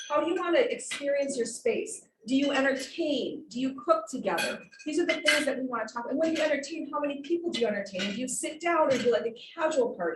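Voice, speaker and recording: A woman speaks loudly and very fast in a high voice with a passionate tone, and room echo can be heard. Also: lively intonation. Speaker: remodeling business owner and designer. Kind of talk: club talk presentation. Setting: club meeting with audience, handheld mic, streamed online. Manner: projecting, passionate.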